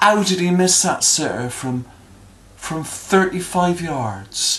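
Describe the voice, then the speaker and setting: With a Bristol accent, the speaker talks at a fairly slow pace over music in the background. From Bristol, England. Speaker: accent demonstrator. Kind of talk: casual talk to camera.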